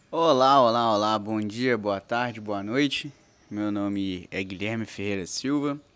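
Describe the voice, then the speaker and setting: At a fairly slow pace, a man talks in a normal speaking voice, fairly low in pitch, with ordinary pitch variation. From Minas Gerais, Brazil (Coronel Fabriciano). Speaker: law professor, podcaster. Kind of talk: solo podcast introduction. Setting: parents' house in small town.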